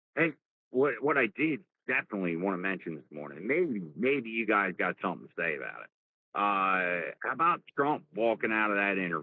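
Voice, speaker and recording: In a strong New Jersey accent, a man speaks at a moderate pace with very wide pitch swings. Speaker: live stream host. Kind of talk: casual chat. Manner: animated.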